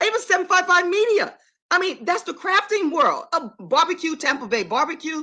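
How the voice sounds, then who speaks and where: A woman speaks in a raised, projected voice at an extremely high pitch, with very wide pitch swings. Her tone is animated and her pace fairly quick. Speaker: vlogger. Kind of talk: live stream chat. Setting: live stream. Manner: fast.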